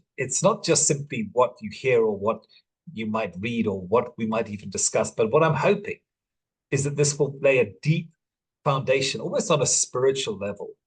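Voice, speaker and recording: A man speaks with a medium pitch and lively intonation. His voice is somewhat breathy, at a moderate pace. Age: 60s. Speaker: life coach and father. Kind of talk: masterclass talk. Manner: halting.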